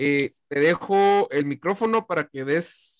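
A man speaks in a fairly high voice with a Guatemalan accent and lively intonation. The recording is very clean, dry and close, with a silent background and no echo. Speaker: podcast host. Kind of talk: casual chat.

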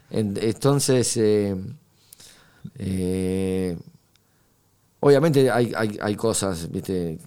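Speaking at a very slow pace with long, frequent pauses, a man uses a fairly low pitch, a dark, mellow tone and ordinary pitch variation. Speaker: guitarist. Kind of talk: interview. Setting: studio. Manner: hesitant, many fillers.

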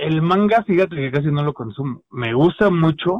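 A man speaks with a Mexican accent. His voice is somewhat breathy, with lively intonation. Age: 30s. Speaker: illustrator and webcomic artist. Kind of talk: casual chat.

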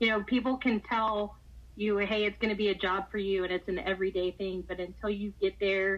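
A woman with a Texan accent speaks at a moderate pace and medium pitch, in a monotone, flat intonation. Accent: Texan American. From Texas, Houston. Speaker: high school softball coach. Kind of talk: interview.

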